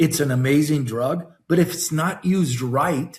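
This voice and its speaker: A man with a somewhat breathy voice speaks at a moderate pace with lively intonation. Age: 60s. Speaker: wellness company executive and physiologist. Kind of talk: interview podcast. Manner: animated.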